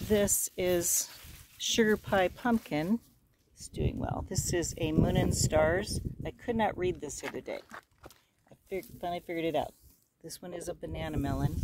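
The speech moves at a moderate pace with long, frequent pauses. The sound is dry with no echo, over loud background noise. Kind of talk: casual vlog chat. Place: garden.

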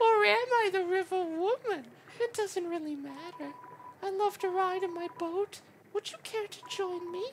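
This put-on character voice sits at an extremely high pitch. The pace is moderate.

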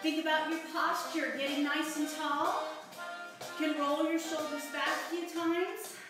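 Clear music plays behind a woman, and strong room echo fills the sound. She speaks fairly slowly in a high pitch with monotone, flat intonation. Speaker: fitness instructor. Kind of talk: tutorial. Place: home room. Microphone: camera far.

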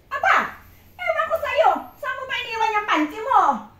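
A woman's put-on character voice, squeaky and extremely high, with lively intonation, big swings in loudness and a moderate pace. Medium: short film. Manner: loud, scolding.

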